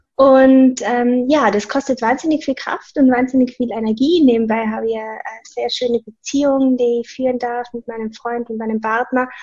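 Talking at a moderate pace with hardly any pauses, a woman has a high pitch, a dark, mellow tone and fairly even intonation. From Austria, Tyrol. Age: 20s. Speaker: personal trainer. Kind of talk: casual interview.

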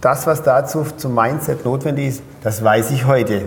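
There is audible room echo as a man talks at medium pitch and a fairly slow pace. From Pforzheim, Baden-Württemberg, Germany. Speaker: business coach and speaker. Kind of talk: interview.

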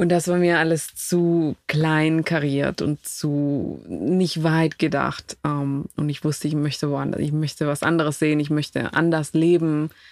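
With a Spanish accent, a woman talks at a fairly slow pace in a very deep, low voice, her intonation flat and monotone and her speech hardly broken by pauses. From Ecuador (Quito). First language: Spanish (speaking German). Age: 30s. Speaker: immigrant guest. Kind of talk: casual interview. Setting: camper van.

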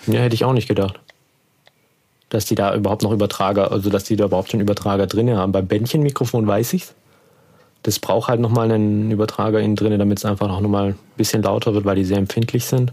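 A man mumbling at a very fast pace, fairly low in pitch, dark and mellow in tone, with monotone, flat intonation, very even loudness and a very clean recording with a silent background. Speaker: podcast host. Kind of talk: casual chat.

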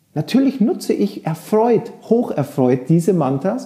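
This man's pitch swings very widely. Noticeable background noise sits behind him. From rural Germany. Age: 40s. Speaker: yoga teacher. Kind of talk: casual chat.

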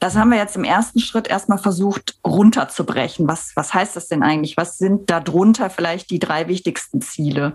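A woman's somewhat breathy voice, medium in pitch, with ordinary pitch variation, a moderate pace and hardly any pauses. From Bergisches Land, Germany (Bensberg near Cologne). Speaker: head of bank marketing. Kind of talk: interview. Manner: hesitant, frequent filler sounds.

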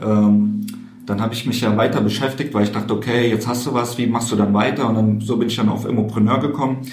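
Over noticeable background noise and audible room echo, a man speaks at a fairly quick pace. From Koblenz, western Germany. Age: 20s. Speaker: real estate investor. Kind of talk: interview. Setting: meeting room at a conference.

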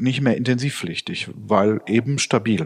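A man speaks at a medium pitch. He has a plain, everyday voice. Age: 50s. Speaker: nursing company managing director. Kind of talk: interview. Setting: office.

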